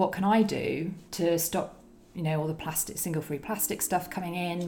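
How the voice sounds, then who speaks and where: Fairly low in pitch, a woman talks with fairly even intonation amid audible room echo. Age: 30s. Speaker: eco Facebook group founder. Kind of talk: casual chat.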